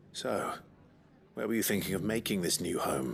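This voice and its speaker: Using a put-on character voice, a raspy man with a fairly low pitch talks at a moderate pace with very even loudness. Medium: video game. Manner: quiet, earnest.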